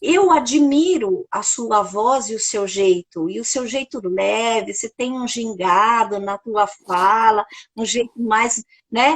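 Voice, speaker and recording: Speaking very slowly, a woman with a fairly high pitch and lively intonation comes through dry and close with no echo. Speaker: podcast host and author. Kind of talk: casual chat. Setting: livestream. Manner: halting, with self-corrections.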